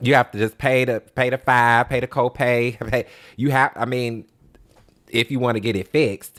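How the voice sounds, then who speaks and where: A man speaks at a moderate pace in a medium pitch with monotone, flat intonation, recorded dry and close with no echo, very clean and against a silent background. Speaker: podcast co-host. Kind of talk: casual chat. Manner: loud.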